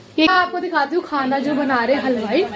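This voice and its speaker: With crowd noise behind her and audible room echo, a woman speaks at a fairly slow pace in a high pitch, with an animated tone and lively intonation. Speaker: vlogger. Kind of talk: casual vlog narration. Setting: family anniversary party at home. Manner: chatty, animated.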